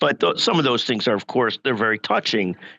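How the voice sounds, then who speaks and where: Speaking at a fairly quick pace with a medium pitch, a man is recorded with a dry, close sound, no echo and a quiet background. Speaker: healthcare lawyer and media founder. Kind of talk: interview conversation.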